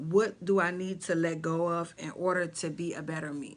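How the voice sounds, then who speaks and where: A woman talks at a fairly low pitch in a monotone, flat intonation. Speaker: life and mindset coach. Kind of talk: motivational talk to camera. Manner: casual, halting with fillers.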